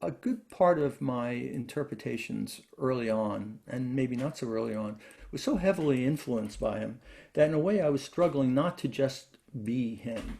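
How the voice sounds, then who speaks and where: A dark, mellow tone in an American accent, with ordinary pitch variation and a moderate pace. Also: man. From New York, Brooklyn. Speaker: classical guitarist and lutenist. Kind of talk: interview. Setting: video call. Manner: halting.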